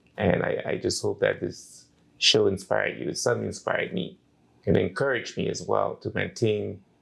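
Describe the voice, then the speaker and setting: With a Turks and Caicos accent, a man talks at a fairly quick pace against a quiet background. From Turks and Caicos (South Caicos). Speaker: talk show host. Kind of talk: interview.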